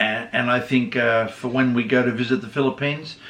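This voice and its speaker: A man of medium pitch with an Australian accent, at a fairly quick pace. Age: 60s. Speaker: vlogger's husband. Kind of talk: casual Q&A chat.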